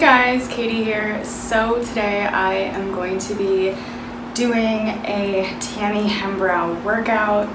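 Very slow speech from a woman amid noticeable background noise. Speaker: fitness vlogger. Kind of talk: casual vlog chat. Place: home room.

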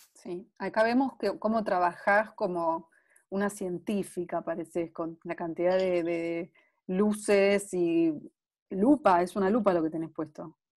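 Over a quiet background, a woman talks fairly slowly at a medium pitch. Her pitch variation is ordinary. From Argentina. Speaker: interviewer, web series host. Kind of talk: casual interview. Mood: warm, friendly. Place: home room. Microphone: earbuds.

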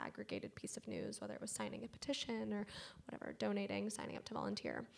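A woman with a very deep, low voice and vocal fry talks at a very fast pace, her pitch swinging very widely. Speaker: media executive. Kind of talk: panel discussion. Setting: stage with audience. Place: stage. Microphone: handheld.

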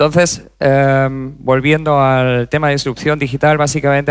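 A man talks against a quiet background. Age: 30s. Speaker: corporate digital executive; conference speaker. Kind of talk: conference talk. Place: stage. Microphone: headset.

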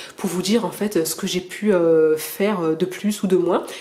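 In a noticeably noisy background, a woman speaks at a medium pitch, fairly slowly, with fairly even intonation. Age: 30s. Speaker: video blogger. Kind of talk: personal testimony and advice monologue. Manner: halting, many fillers and repetitions.

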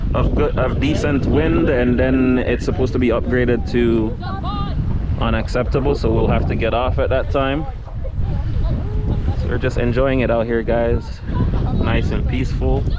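A man speaks at a moderate pace with long, frequent pauses. The sound is dry with no echo, but loud background noise is present. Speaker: travel vlogger. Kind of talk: casual vlog chat. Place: boat. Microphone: phone near.

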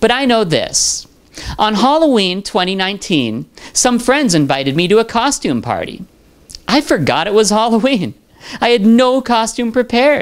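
Very wide pitch swings mark the speech, and the background is quiet. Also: woman. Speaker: video creator. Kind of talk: personal reflective monologue. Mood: warm, reflective. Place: home room. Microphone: handheld.

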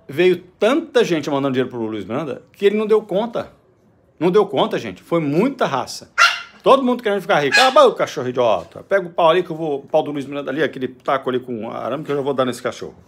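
At a very fast pace, a man with a fairly high pitch speaks in very wide pitch swings. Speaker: vlogger, business owner. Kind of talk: opinion monologue. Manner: animated.

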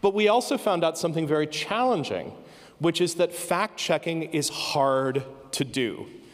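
With an American accent and lively intonation, a man with a high-pitched voice speaks at a moderate pace against a quiet background. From United States. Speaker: professor. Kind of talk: conference keynote talk. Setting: stage with audience. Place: stage. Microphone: handheld.

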